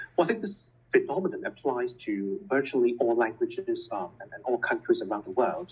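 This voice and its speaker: A man with a Cantonese accent, fairly quick pace, and big swings in loudness. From Hong Kong. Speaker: scientist and educator. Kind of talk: interview.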